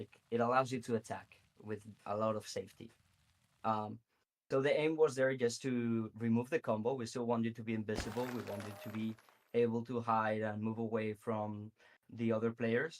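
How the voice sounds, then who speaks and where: Delivered at a moderate pace, the speech has monotone, flat intonation and a Spanish accent. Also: man, medium pitch for a man. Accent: Spanish accent, noticeable. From Spain. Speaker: game developer. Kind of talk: interview answers. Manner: hesitant with fillers.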